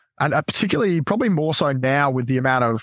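Recorded dry and close with no echo, a man speaks at a medium pitch with an Australian accent. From Adelaide, South Australia. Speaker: former navy clearance diver. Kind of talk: casual interview chat.

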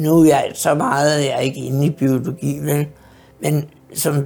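With music in the background, a woman speaks at a fairly slow pace in a very deep, low voice, her intonation fairly even. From Denmark, Hobro area. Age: 60s. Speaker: care home resident. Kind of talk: life story interview. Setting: in her apartment. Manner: hesitant with fillers.

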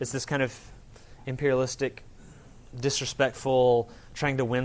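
A man speaks quietly at a fairly quick pace. His intonation is monotone and flat. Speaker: pastor. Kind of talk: sermon. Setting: church. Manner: trails off quietly at poignant moments.

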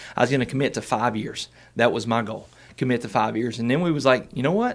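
With a Southern US accent, the speaker talks at a very fast pace with lively intonation. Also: man. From Arkansas. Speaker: student pastor. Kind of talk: casual interview, life story.

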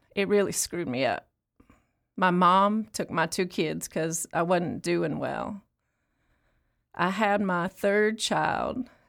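A woman does a put-on character voice at a slow pace, with a fairly low pitch, vocal fry, a fairly bright tone and lively intonation, in a very clean recording with a silent background.

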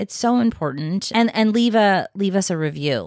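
A normal speaking voice from a woman at a medium pitch, with lively intonation, a moderate pace, and a very clean recording over a silent background. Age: 50s. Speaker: podcast co-host. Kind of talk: casual chat. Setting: home recording.

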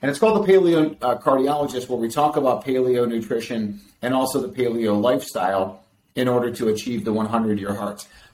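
This man talks at a fairly quick pace with lively intonation and a medium pitch. He has a plain, everyday voice. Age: 50s. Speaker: cardiologist. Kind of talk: interview.

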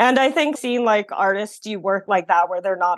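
A woman speaks in a Californian accent with ordinary pitch variation. The background is quiet. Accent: Californian American English. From San Francisco, US. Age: 30s. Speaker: painter and illustrator. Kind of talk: interview conversation.

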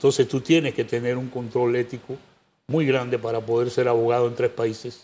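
At a moderate pace, a man talks in a medium pitch with a dark, mellow tone and monotone, flat intonation. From Panama. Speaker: presidential pre-candidate and lawyer. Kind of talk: interview.

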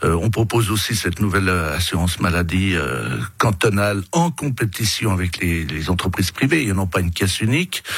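With noticeable background noise, a man talks at a moderate pace in a very deep, low voice, with lively intonation and hardly any pauses. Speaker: politician, election candidate. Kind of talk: radio interview. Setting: radio studio. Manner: loud.

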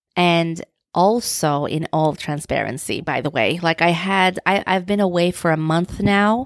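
In a Turkish accent, a woman speaks at a fairly slow pace with a fairly low pitch and ordinary pitch variation. The recording is very clean, its background silent. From Turkey. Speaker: podcast host. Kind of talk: solo podcast monologue.

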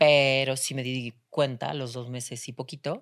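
Very deep, low pitch from a woman, on a very clean recording against a silent background. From Spain, Seville. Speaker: artist and actress. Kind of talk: casual interview.

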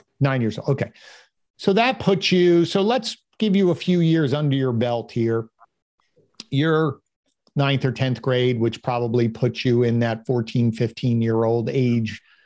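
A man speaks at a fairly slow pace in a normal speaking voice. His loudness is very even, with ordinary pitch variation. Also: medium pitch for a man. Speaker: podcast host. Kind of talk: interview.

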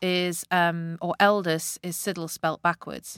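A woman's fairly low voice with a Northeast English accent at a fairly slow pace, in a very clean, dry, close recording with no echo and a silent background. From Northeast England. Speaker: sales consultant and author. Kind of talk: interview. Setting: studio.

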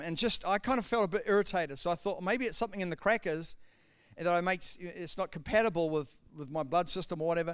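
On a very clean recording with a silent background, a man talks fairly quickly at a high pitch with ordinary pitch variation. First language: not English (second language). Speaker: pastor. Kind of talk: sermon. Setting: church with congregation.

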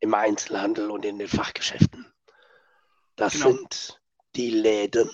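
The sound is dry and close with no echo as a man speaks in a fairly low pitch, his intonation monotone and flat. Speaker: sales coach, podcast co-host. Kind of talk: casual chat.

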